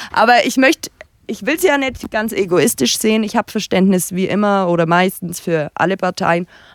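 A woman speaks with lively intonation at a medium pitch. The sound is dry and close, with no echo. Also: moderate pace, very clean recording, silent background. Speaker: blogger. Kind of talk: casual chat. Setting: recorded at guest's home.

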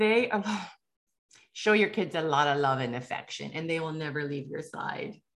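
In an animated tone, a woman with a very deep, low pitch speaks with lively intonation. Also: moderate pace. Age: 50s. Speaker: podcast host and author. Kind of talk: casual monologue.

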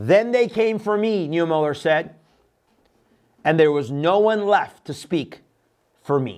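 Lively intonation marks this man's high voice, which is broken by long, frequent pauses. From Iran. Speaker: pastor. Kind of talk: sermon-style religious talk show. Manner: fast talker.

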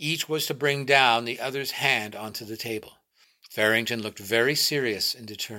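The background is quiet, and the speaker uses an unforced reading voice with ordinary pitch variation.

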